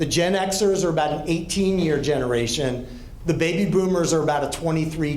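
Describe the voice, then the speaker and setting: A man with an American accent talks at a fairly quick pace with a fairly high pitch and very even loudness. Noticeable background noise and audible room echo surround the voice. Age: 60s. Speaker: pastor and counseling director. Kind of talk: talk to a group.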